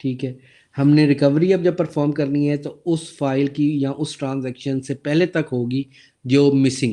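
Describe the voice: A man's dark, mellow voice at medium pitch and a moderate pace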